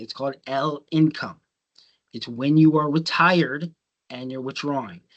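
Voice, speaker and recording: The voice moves at a fairly slow pace against a quiet background. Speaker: financial literacy instructor. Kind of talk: lecture. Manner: casual with many fillers.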